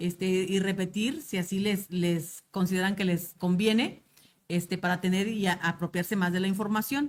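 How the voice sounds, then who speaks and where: A woman speaks at medium pitch with fairly even intonation. Her loudness is very even. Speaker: teacher trainer. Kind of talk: lecture. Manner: fast.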